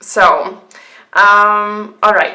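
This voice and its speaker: With a German accent, a woman speaks very slowly at a fairly high pitch in a bright, sharp tone, with audible room echo. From Germany. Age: 20s. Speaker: budgeting vlogger. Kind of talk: casual tutorial vlog. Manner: hesitant, many ums.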